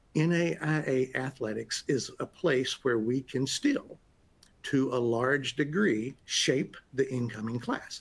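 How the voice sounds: A man at medium pitch with a slightly husky edge, fairly slow, with ordinary pitch variation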